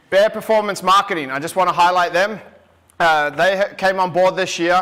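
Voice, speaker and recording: A man projects a raised voice at a high pitch with a bright, sharp tone. His pace is fairly quick and his intonation fairly even. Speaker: event emcee. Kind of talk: live event hosting. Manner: fast.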